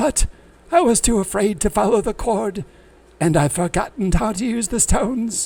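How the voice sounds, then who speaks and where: Putting on a character voice, a man talks at a moderate pace with a pitch that is high for a man. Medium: read story. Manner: excitable, scattered.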